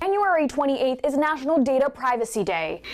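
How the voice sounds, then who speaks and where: A woman's intonation is lively while noticeable background noise sounds behind her. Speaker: news anchor and reporter, bilingual host. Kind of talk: TV news anchor delivery. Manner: clear, polished, professional.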